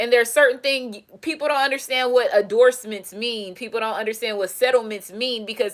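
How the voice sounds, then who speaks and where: Speaking at a moderate pace, a woman uses a high pitch and an animated tone. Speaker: tarot reader and self-styled presidential candidate. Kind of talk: casual monologue, rant. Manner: stumbles and mumbles.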